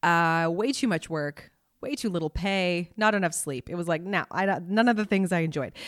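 A woman with a Canadian accent and an unremarkable speaking voice, fairly low in pitch with ordinary pitch variation, in a very clean recording with a silent background and a dry, close sound with no echo. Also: moderate pace. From Canada, Montreal. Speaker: YouTube creator. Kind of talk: casual chat.

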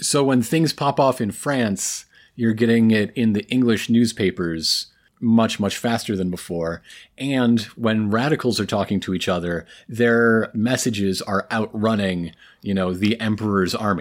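A man with an unremarkable speaking voice talks at a fairly slow pace, at medium pitch with ordinary pitch variation. The recording is very clean, the background silent. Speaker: podcast co-host. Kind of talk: casual chat.

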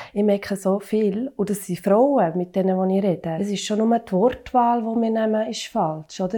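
Her dark, mellow voice sits at a medium pitch, with fairly even intonation. The woman keeps a moderate pace with hardly any pauses. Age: 30s. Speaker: working mother. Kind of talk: casual discussion.

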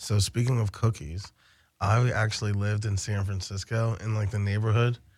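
In a very clean recording with a silent background, a man with a fairly low pitch and a somewhat breathy voice speaks at a moderate pace in a monotone, flat intonation. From Baltimore, Maryland (US East Coast). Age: 30s. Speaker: cannabis delivery business founder. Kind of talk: casual chat.

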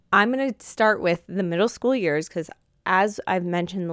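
Recorded with a dry, close sound with no echo on a very clean recording with a silent background, a woman uses an unremarkable speaking voice with ordinary pitch variation. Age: 30s. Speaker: faith and fashion podcast host. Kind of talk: casual monologue. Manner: earnest.

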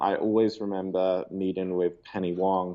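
Speaking at a moderate pace, a man uses a very deep, low pitch and monotone, flat intonation. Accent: Australian. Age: 20s. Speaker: global poverty advocate. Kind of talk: interview. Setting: call.

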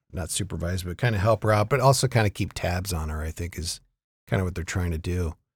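A very deep, low, somewhat breathy male voice, very fast with ordinary pitch variation, on a very clean recording with a silent background. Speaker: podcast host. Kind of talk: casual chat about TV shows. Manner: casual, conversational.

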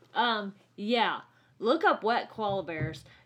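A woman's ordinary speaking voice, medium in pitch, with lively intonation. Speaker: nurse and podcast co-host. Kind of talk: casual chat. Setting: home studio.

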